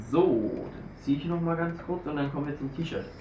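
A man at a moderate pace, with audible room echo and light background noise. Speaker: YouTuber, shisha reviewer. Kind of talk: unboxing video. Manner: casual, informal. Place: home room. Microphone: camera far.

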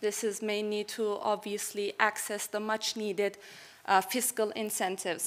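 A woman speaks at a moderate pace in a fairly high pitch. Her intonation stays flat and monotone. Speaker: international policy analyst; conference presenter. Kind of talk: conference presentation. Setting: stage with audience. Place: stage.

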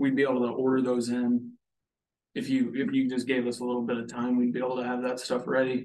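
A man at a very fast pace, monotone with flat intonation. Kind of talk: business conversation. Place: meeting room. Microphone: camera far.

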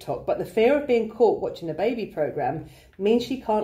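The text is given a plain reading aloud with lively intonation.

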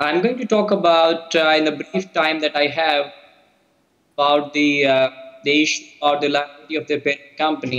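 A man's voice at a moderate pace, with ordinary pitch variation and a quiet background. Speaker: remote presenter. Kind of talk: lecture. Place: hall. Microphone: video call.

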